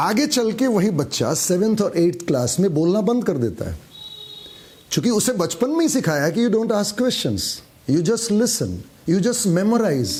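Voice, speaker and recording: A moderate pace with very wide pitch swings, over noticeable background noise. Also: man, high pitch for a man. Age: 50s. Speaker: motivational speaker. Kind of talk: motivational talk.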